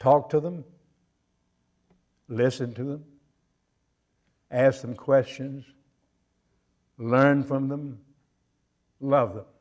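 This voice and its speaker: At a very slow pace and with long, frequent pauses, a man with an American accent speaks at medium pitch, his intonation fairly even but his loudness swinging widely. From US South, Durham, North Carolina. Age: 90s. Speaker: retired navy officer. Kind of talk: talk to student group. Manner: halting, with fillers.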